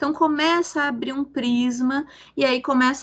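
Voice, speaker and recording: A woman's raised, projected voice. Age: 40s. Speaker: consultant and activist. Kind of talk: podcast interview.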